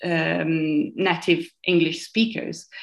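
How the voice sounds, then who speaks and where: A woman with an Italian accent on a very clean recording with a silent background. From Italy, near Modena and Bologna. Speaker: podcast guest. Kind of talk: casual chat. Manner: nervous about speaking English.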